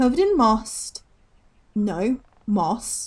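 A woman speaks very slowly, her fairly high voice somewhat breathy with a dark, mellow tone. Her intonation is lively and the background is quiet. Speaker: gaming streamer. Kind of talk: live game stream commentary. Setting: home streaming setup. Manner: animated. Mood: cheerful, relaxed. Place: home room.

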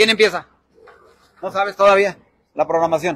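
A man talks in an animated tone at a high pitch, with ordinary pitch variation. The recording is dry, with no echo. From Durango, Mexico. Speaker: local online show host; local reporter or host. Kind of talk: live roving broadcast. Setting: outdoors at a village fair, wireless mic, partly in a vehicle. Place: street. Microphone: handheld.

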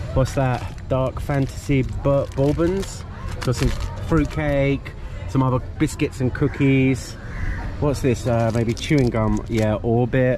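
A man speaks at a very slow pace with very even loudness and ordinary pitch variation. The sound is dry with no echo, and clear music plays in the background. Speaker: travel vlogger. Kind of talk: casual vlog chat. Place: station. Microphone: phone near.

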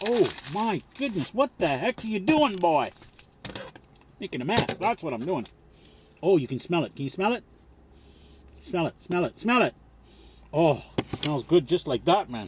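Noticeable background noise sits under a man's high-pitched voice in a dry recording with no echo. He keeps a moderate pace and takes long, frequent pauses. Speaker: truck driver vlogger. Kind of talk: casual cooking vlog chat. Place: car. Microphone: phone near.

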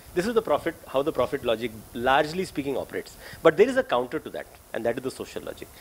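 A man's voice over light background noise. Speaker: speaker. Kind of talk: lecture. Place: meeting room. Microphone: podium.

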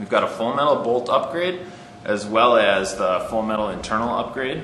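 A man talks at a moderate pace. Audible room echo and light background noise are present. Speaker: presenter. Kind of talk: product overview. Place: shop.

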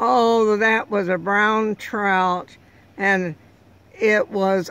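Over a dry sound with no echo, a woman speaks at a very slow pace and medium pitch with ordinary pitch variation. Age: 80s+. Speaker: trout angler. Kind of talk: interview answer. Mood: pleasant, proud. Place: car. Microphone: phone near.

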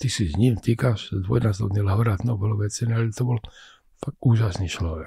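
A man speaks in a fairly low pitch with a dark, mellow tone and a somewhat breathy quality, his pitch varying in an ordinary way. The sound is dry with no echo, over a quiet background. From Czech-born, raised in Košice, eastern Slovakia; Slovakia. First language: Czech (speaking Slovak). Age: 80s+. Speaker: scientist and physician; guest. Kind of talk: interview. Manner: halting, repetitive. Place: studio. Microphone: studio mic.

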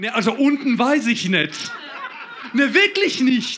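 A man with an extremely high pitch uses a raised, projected voice with very wide pitch swings. He talks at a fairly slow pace over light background noise. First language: Croatian (speaking German). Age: 30s. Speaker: comedian. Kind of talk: stand-up. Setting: stage with audience. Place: stage. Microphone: handheld.

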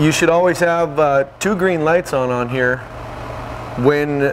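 Noticeable background noise accompanies a fairly slow delivery with ordinary pitch variation. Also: man. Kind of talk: tutorial. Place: hall.

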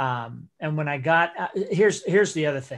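A man speaks at a fairly high pitch against a quiet background. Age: 50s. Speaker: school director and animator. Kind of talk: interactive online workshop. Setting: video call. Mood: relaxed, reflective. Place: home room. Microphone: video call.

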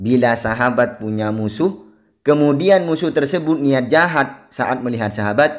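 The man has an ordinary speaking voice at medium pitch. He talks at a moderate pace with lively intonation. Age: 20s. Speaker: Islamic spiritual practice teacher. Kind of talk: religious instruction and tutorial; screen tutorial.

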